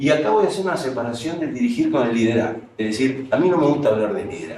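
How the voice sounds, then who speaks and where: A somewhat breathy, fairly high-pitched male voice at a moderate pace, with very wide pitch swings and audible room echo. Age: 60s. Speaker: professor and management consultant. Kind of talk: lecture.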